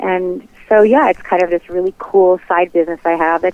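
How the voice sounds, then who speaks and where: A woman with an ordinary speaking voice talks at a fairly quick pace in a fairly low pitch with ordinary pitch variation. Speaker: hypnotherapist. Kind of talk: casual business interview.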